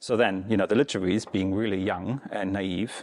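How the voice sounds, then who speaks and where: Moving at a fairly quick pace, a man with a German accent speaks at a fairly low pitch with fairly even intonation. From Germany, East Berlin. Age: 30s. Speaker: Buddhist teacher. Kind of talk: dharma talk. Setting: meditation center with audience. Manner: casual, hesitant.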